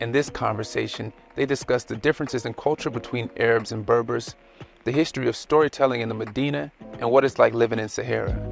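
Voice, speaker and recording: Over music in the background, a man speaks in an upbeat tone at a very fast pace, with medium pitch and ordinary pitch variation. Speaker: podcast host. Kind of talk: show intro.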